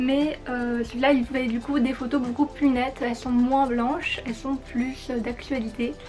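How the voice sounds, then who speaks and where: A woman's high-pitched voice at a moderate pace, with music in the background. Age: 20s. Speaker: fashion and photo youtuber. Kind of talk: vlog explainer. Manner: casual, hesitant.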